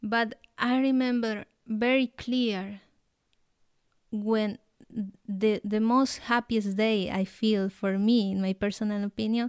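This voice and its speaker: A woman's fairly high voice in a Colombian accent, monotone and flat, with a dry, close sound and no echo. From Colombia, Nariño. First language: Spanish. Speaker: guest from abroad. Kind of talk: casual interview.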